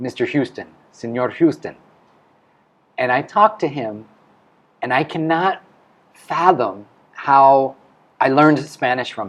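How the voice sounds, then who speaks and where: A man with a Midwestern accent speaks at a fairly high pitch and a fairly slow pace, with lively intonation and long, frequent pauses. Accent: American Midwest. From US Midwest, Ohio. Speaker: school head. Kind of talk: interview.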